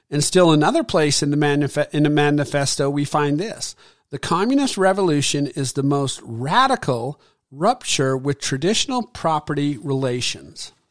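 At a moderate pace, a man with an unremarkable speaking voice talks at a fairly high pitch with ordinary pitch variation in a very clean recording with a silent background. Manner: earnest, preachy, rallying the audience with moral urgency; declamatory, with punchy numbered points and direct appeals to listeners.

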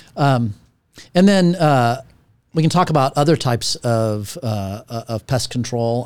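This is a normal speaking voice with ordinary pitch variation, on a very clean recording with a silent background. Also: man. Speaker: podcast host, former property manager. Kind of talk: casual interview.

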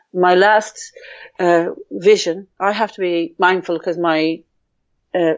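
With an Irish accent, a woman speaks with ordinary pitch variation. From Ireland. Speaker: psychotherapist and healer. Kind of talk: interview.

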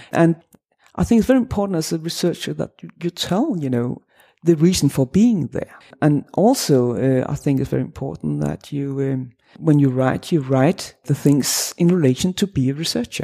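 A woman with a Danish accent speaks in a very deep, low pitch and a dark, mellow tone, her intonation lively and the sound dry and close with no echo. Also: moderate pace. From Denmark. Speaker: associate professor of religious studies. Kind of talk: academic interview. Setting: academic conference.

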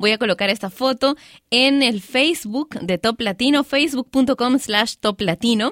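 High-pitched and fairly slow, a woman speaks with ordinary pitch variation and very even loudness in a dry, close sound with no echo. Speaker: radio host. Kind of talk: casual radio show talk. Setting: studio. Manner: lively.

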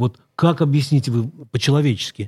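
Somewhat breathy, a man's voice sits fairly high in pitch at a moderate pace. The sound is dry and close with no echo. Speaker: co-host, newspaper correspondent. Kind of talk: live radio talk show interview. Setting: radio studio.

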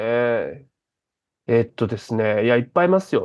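A man's unremarkable speaking voice at a medium pitch, with lively intonation. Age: 30s. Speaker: stand-up comedian. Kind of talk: interview.

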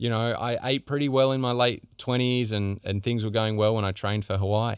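Recorded very cleanly against a silent background, a man speaks at a medium pitch. He has an Australian accent and fairly even intonation. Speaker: podcast host. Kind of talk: solo monologue on health.

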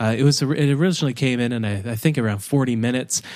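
An unremarkable speaking voice with ordinary pitch variation is heard on a very clean recording with a silent background. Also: man. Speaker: podcast host. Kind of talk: podcast interview. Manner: casual, chatty.

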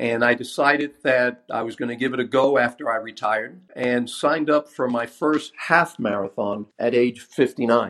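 Using a normal speaking voice, a man talks at a moderate pace and medium pitch, with fairly even intonation and hardly any pauses. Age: 60s. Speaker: retired police officer. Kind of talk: recorded voicemail message.

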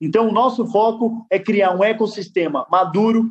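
A man speaks at a fairly slow pace. His voice is high. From Guarulhos, São Paulo, Brazil. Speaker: social entrepreneur, NGO founder. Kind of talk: interview. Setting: livestream.

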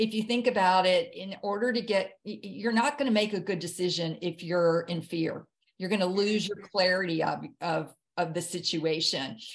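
In a Southern US accent, a woman speaks at a medium pitch and moderate pace with ordinary pitch variation. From US South, Jackson, Mississippi. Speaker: author and near-death experience survivor. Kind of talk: interview testimony. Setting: video call.

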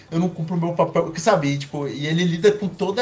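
There is noticeable background noise as the speaker moves at a fairly quick pace with ordinary pitch variation. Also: man. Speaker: podcast co-host. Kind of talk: casual chat.

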